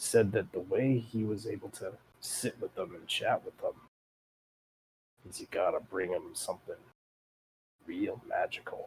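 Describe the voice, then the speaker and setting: A man puts on a raspy character voice, moving at a moderate pace with long, frequent pauses. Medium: actual play. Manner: casual, rambling, folksy.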